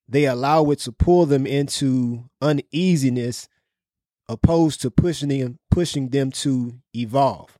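Speaking at a fairly slow pace, a man has a dark, mellow tone and fairly even intonation. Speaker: podcast host. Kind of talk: casual business podcast discussion. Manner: casual, conversational.

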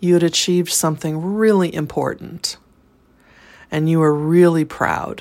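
On a very clean recording with a silent background, a woman with an unremarkable speaking voice talks at a fairly low pitch and a fairly slow pace with fairly even intonation. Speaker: guided exercise instructor. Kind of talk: guided meditation, calm instructional prompts with pauses. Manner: slow, soothing, deliberate.

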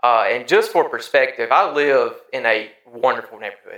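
A man speaks at a moderate pace. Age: 30s. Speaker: podcast host. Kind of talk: casual chat.

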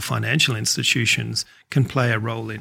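A man with an Australian accent talks at a medium pitch with vocal fry. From Australia, Adelaide. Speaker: cheesemaker and place-branding board chair. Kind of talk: interview.

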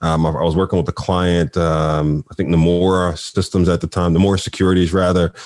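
Against a quiet background, a man with a Philadelphia accent speaks at a fairly quick pace with hardly any pauses, his very deep, low pitch held in a monotone, flat intonation at very even loudness. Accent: Philadelphia American English. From Philadelphia, US. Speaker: nonprofit CEO and HR executive. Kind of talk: interview conversation.

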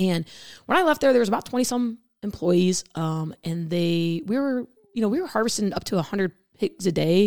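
Lively intonation marks this woman's ordinary speaking voice, which sits at a medium pitch and moves at a fairly quick pace. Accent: American. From central Illinois. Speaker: meat lab manager. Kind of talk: casual interview.

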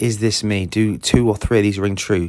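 The speaker talks at a moderate pace with a southern English accent. The recording is very clean, with a silent background. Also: man. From southern England. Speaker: sports business coach, podcast host. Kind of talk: solo podcast monologue.

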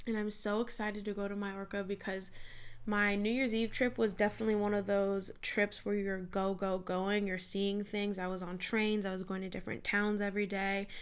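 A woman with an American accent talks at a fairly quick pace and a medium pitch. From US West Coast (San Diego, California). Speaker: podcast host and mindset coach. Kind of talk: solo podcast monologue. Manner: animated.

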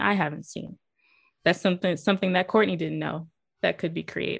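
With an American accent, a woman of medium pitch talks at a fairly quick pace, showing vocal fry and ordinary pitch variation. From North Carolina, Greenville. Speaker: documentary filmmaker, new podcast host. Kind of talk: casual chat.

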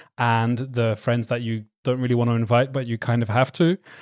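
A man talks with a Belgian accent. His pitch is medium and his pace fairly quick. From Belgium, partly raised in England (Essex, Suffolk, Hertfordshire). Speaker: wedding photographer and doctor. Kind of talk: casual chat. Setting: remote call.

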